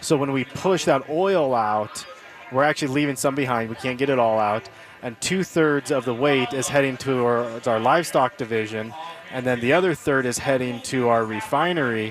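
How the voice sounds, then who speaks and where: A man's medium-pitched voice, with ordinary pitch variation, is heard over music in the background. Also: moderate pace. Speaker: sunflower oil company rep. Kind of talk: radio interview, casual chat.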